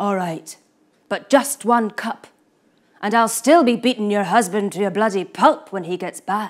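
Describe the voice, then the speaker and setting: A woman's gruff, put-on character voice at medium pitch and a moderate pace. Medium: read story. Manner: roaring, gruff.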